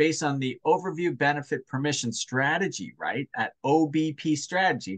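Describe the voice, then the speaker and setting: The speaker uses an unremarkable speaking voice. The pace is moderate. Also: man. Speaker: sales coach. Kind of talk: one-on-one coaching session.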